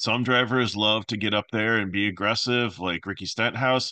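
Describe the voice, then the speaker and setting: A bright, sharp tone with fairly even intonation, dry with no echo, against a quiet background. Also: man. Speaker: fantasy sports picks host. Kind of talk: solo picks commentary. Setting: home recording with microphone. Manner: fast, run-on.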